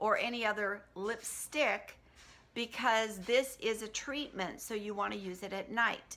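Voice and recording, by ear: A woman's fairly high, bright, sharp voice at a fairly slow pace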